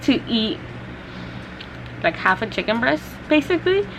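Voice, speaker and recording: A woman speaks over noticeable background noise. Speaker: beauty and lifestyle vlogger. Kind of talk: casual vlog talk to camera. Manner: hesitant with many fillers.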